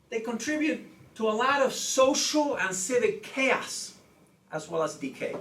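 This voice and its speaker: Through audible room echo and noticeable background noise, a man speaks in an extremely high voice with lively intonation. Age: 60s. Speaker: law professor. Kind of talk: lecture. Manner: frequent filler 'okay'.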